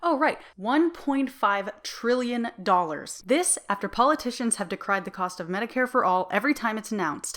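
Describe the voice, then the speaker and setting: A woman with a plain, everyday voice, fairly high in pitch, lively in intonation and fairly quick in pace. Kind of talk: opinion commentary to camera. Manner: casual, conversational.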